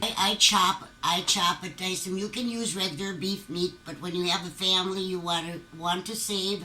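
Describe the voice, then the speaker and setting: With noticeable background noise behind her, a woman speaks at medium pitch and a moderate pace. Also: fairly even intonation. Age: 70s. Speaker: home cook. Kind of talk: cooking demonstration.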